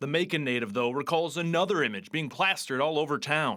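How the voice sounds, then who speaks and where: A man with a plain, everyday voice talks at a fairly quick pace, fairly high in pitch with ordinary pitch variation. The recording is very clean with a silent background. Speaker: TV news reporter. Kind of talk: TV news report narration.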